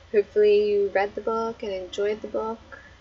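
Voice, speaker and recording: This is a woman speaking. Noticeable background noise is present. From Australia. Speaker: book club host. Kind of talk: casual live stream chat. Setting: live stream.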